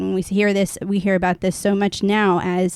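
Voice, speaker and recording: In a very clean recording with a silent background, a woman talks at a moderate pace and a medium pitch. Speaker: family coach podcast co-host. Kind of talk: casual chat. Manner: halting.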